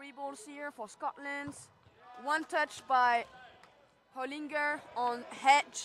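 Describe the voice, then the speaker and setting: A high-pitched woman speaks very slowly in a French accent. Her loudness swings widely, with long, frequent pauses. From France. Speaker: sports commentator. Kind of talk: live commentary. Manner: animated.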